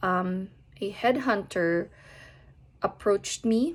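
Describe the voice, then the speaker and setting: Her medium-pitched voice rises and falls in a normal way as the woman speaks. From Philippines, Manila. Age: 30s. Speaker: banking risk manager. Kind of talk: personal introduction. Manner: hesitant fillers.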